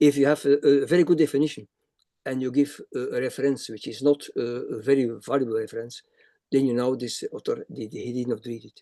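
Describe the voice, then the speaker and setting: A man with a non-native accent, dark and mellow in tone, big swings in loudness, fairly even intonation, and a dry, close sound without echo. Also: fairly high pitch for a man, fairly quick pace. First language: not English. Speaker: academic reviewer speaker. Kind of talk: webinar Q&A answer. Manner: halting, many repetitions.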